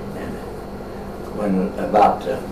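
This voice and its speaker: A man with a West Tennessee accent is heard with audible room echo and noticeable background noise. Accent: Southern US (West Tennessee). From West Tennessee (Martin, Bruceton). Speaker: local elder interviewed on town history. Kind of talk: oral history interview. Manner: halting.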